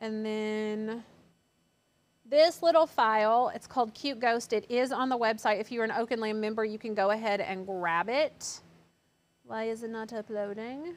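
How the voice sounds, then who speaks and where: A woman speaks at a moderate pace with a fairly high pitch. Her pitch variation is ordinary. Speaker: craft channel host. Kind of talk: live craft tutorial. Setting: studio. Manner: chatty. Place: studio.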